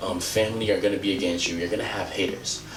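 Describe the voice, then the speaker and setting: Music plays in the background as a man with an African accent speaks at a very fast pace. His pitch is fairly low, and audible room echo is present. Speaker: motivational vlogger. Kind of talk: motivational talk to camera. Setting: outdoors.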